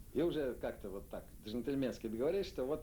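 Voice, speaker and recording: A man's dark, mellow voice carries lively intonation and some vocal fry. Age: 60s. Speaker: literary editor. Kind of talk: interview. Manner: halting.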